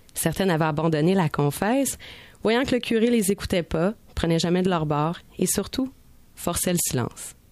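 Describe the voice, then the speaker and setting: A woman at a medium pitch and a moderate pace, with ordinary pitch variation, in a very clean recording with a silent background. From Montreal. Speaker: radio columnist. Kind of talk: scripted narration.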